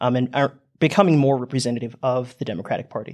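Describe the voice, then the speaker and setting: A man with an American accent speaks in a plain, everyday voice at medium pitch and a moderate pace, on a very clean recording with a silent background. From United States. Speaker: exchange student. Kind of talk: panel discussion. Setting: studio.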